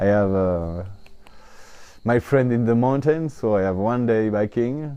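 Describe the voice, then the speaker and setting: A man with a French accent and medium pitch speaks at a fairly slow pace, with long, frequent pauses. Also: ordinary pitch variation. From France, Italian parents. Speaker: honey seller and Vietnam researcher. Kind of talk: interview storytelling. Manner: halting, many fillers.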